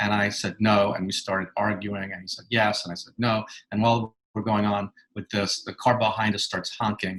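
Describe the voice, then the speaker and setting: Speaking at a moderate pace with a New York accent, a man keeps a monotone, flat intonation while his loudness swings widely. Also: fairly low pitch for a man. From New York City. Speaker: author and clinical psychologist. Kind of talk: interview.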